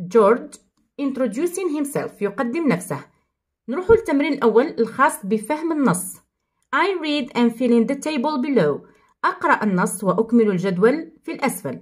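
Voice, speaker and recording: A woman with an Algerian accent talks at a moderate pace, her high voice swinging very widely in pitch. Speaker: English teacher. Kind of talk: tutorial.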